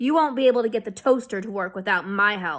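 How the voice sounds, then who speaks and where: In a put-on character voice, a woman growls at a very fast pace with a medium pitch and big swings in loudness. The recording is very clean, with a silent background. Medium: read story. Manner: casual, pushy.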